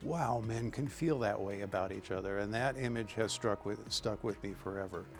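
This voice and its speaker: Music plays in the background as a man speaks at a moderate pace with a fairly low pitch, ordinary pitch variation and hardly any pauses. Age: 60s. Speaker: interviewee, LGBTQ community member. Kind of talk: interview testimony. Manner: halting, many fillers.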